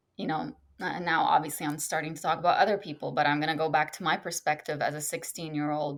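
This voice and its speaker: A woman with an Arabic accent speaks at a fairly low pitch. The recording is very clean, with a silent background. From Lebanon. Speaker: author and educator. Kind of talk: interview conversation.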